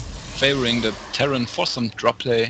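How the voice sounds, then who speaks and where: Speaking at a fairly slow pace with a German accent, a man is heard over noticeable background noise. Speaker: esports commentator. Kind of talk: live commentary. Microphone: too quiet after touching mic.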